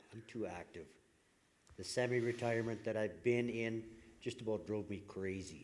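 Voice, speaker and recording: Speaking with a Canadian Prairie accent, a man at medium pitch keeps his intonation fairly even and a moderate pace, leaving long, frequent pauses. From Saskatchewan, Canada. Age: 60s. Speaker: political candidate. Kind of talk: candidate closing statement at public forum.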